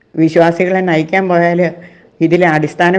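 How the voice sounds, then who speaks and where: Here is a woman speaking. Her pitch sits fairly low, with ordinary variation. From Kerala, India (Kothamangalam). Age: 60s. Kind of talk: emotional complaint, address to church leaders.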